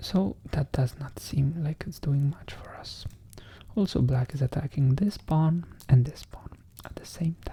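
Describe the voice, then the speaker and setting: At a fairly slow pace, this voice remains soft-spoken. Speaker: chess content creator. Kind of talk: ASMR chess commentary.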